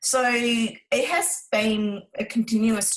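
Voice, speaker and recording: A woman with a Vietnamese accent speaks in a fairly high voice. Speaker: relationship coach. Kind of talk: interview.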